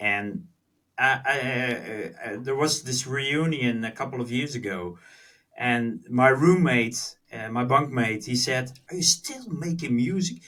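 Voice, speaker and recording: A man speaks with a Dutch accent at a fairly slow pace. His medium pitch moves with lively intonation. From Netherlands. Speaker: music producer. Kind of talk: podcast interview. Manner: halting.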